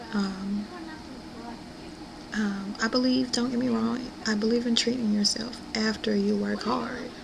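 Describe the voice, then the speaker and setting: Over noticeable background noise and audible room echo, the voice moves at a fairly slow pace with long, frequent pauses, very even loudness and ordinary pitch variation. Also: woman, fairly high pitch for a woman. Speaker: weight-loss vlogger. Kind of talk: personal video diary. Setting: at home. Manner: hesitant, many fillers.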